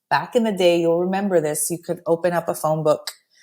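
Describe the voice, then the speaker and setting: With a Spanish accent, a woman talks at a very fast pace. Her tone is dark and mellow, with a fairly low pitch. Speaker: immigration attorney. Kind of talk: interview conversation. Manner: animated.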